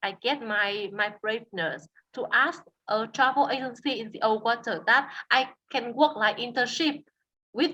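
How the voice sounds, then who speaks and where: Speaking at a fairly slow pace, a woman with a Vietnamese accent uses a high pitch, ordinary pitch variation and a bright, sharp tone. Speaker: tour guide. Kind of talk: interview. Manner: halting, with many fillers and repetitions.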